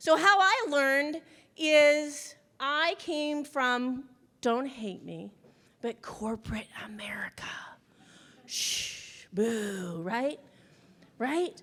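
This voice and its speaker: A woman speaks at a very slow pace with long, frequent pauses in a high, bright, sharp voice. Her pitch swings very widely. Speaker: business coach and speaker. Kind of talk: motivational talk to an audience. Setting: stage with audience. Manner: loud; animated.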